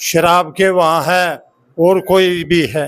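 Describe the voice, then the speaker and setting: Speaking in a high pitch, a man delivers his words with monotone, flat intonation. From Delhi rural area, Najafgarh. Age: 70s. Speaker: village elder and social worker. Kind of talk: public speech at event. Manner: rambling, unpolished.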